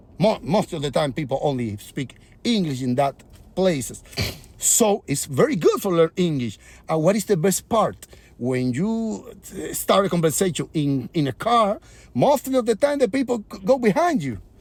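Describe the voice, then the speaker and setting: A high-pitched man with a Spanish accent and very wide pitch swings. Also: moderate pace. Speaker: comedian and musician. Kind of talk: casual vlog monologue. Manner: halting.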